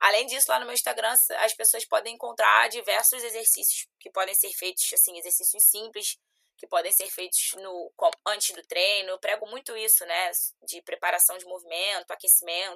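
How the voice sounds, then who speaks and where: A woman's bright, sharp voice at medium pitch, moderate pace and ordinary pitch variation, with big swings in loudness, dry and close with no echo. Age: 20s. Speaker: CrossFit athlete and personal trainer. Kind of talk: casual interview chat.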